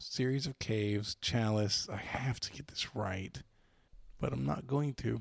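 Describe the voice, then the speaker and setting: A man speaks at a fairly slow pace in a fairly low, somewhat breathy voice. His intonation is lively and his tone playful. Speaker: podcast host and trivia contestant. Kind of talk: casual banter in a trivia game. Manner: joking, playful.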